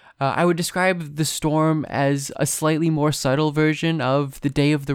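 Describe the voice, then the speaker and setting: The speech moves at a moderate pace. The recording is very clean with a silent background. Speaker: podcast host. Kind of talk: scripted lecture-style analysis. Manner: formal, analytical.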